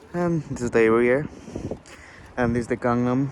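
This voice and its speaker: Against noticeable background noise, a man speaks fairly slowly at a medium pitch with fairly even intonation. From Bangladesh. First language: Bangla. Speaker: international student vlogger. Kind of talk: vlog narration. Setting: outdoors, riding a bike at night.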